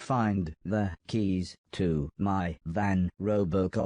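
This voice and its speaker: In a put-on character voice, a man speaks at a very slow pace with a very deep, low pitch and fairly even intonation. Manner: through gritted teeth.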